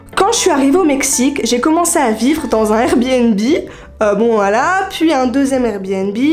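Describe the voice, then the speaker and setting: Over music in the background, a woman speaks at a high pitch with very even loudness. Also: lively intonation, fairly slow pace. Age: 20s. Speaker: freelance online communications worker. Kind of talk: casual talk to camera.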